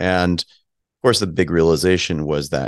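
Vocal fry runs through a man's very deep, low voice. The sound is dry and close with no echo, over a quiet background. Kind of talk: interview. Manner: fluent.

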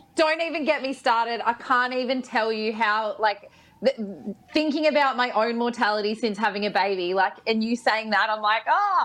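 With an Australian accent, a woman talks at a moderate pace, her fairly high pitch varying in an ordinary way. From New South Wales, Australia (Bathurst). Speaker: radio and TV personality. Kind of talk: casual chat.

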